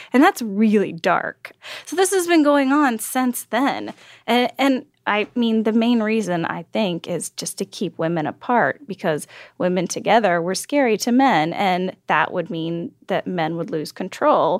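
Fairly slow speech with very wide pitch swings, recorded very cleanly against a silent background, the sound dry and close with no echo. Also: woman, fairly high pitch for a woman. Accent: American. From Texas. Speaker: author. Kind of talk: interview.

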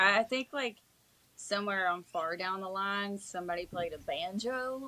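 This woman talks with an Appalachian accent at a fairly slow pace. Her voice sits at a medium pitch and has a bright, sharp tone. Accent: Appalachian Southern US. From Eastern Kentucky (Prestonsburg area). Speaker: country singer-songwriter. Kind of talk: casual interview chat.

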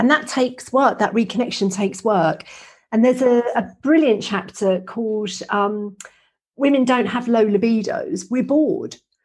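A woman with a normal speaking voice, fairly high in pitch, ordinary pitch variation and a moderate pace. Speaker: podcast host, menopause educator. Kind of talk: casual interview.

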